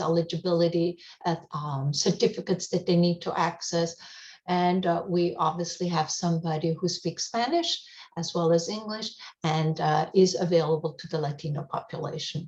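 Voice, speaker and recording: A woman talks at a moderate pace with a fairly low pitch. Her voice is somewhat breathy, her intonation fairly even. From Europe, German-speaking. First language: German. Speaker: hospice outreach coordinator. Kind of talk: radio interview. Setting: radio show. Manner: frequent fillers, hesitant.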